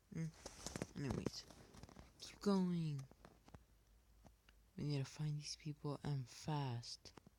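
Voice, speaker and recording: Quiet and somewhat breathy, a dark, mellow voice moves at a very slow pace with fairly even intonation and long, frequent pauses. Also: man, fairly high pitch for a man. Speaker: gaming youtuber. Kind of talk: gameplay commentary.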